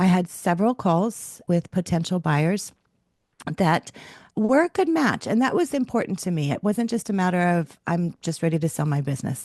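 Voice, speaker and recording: This is a woman with a fairly low pitch and an unremarkable speaking voice, talking at a moderate pace with lively intonation. The sound is dry and close with no echo, over a quiet background. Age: 60s. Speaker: business owner selling her company. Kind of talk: testimonial interview. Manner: conversational with fillers.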